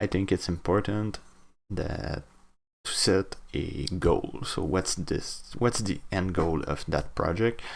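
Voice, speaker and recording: A man with a French Canadian accent speaks very slowly in a very deep, low voice. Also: very clean recording, silent background. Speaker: hobbyist game developer. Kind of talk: casual devlog talk to camera. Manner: rambling, hesitant with fillers.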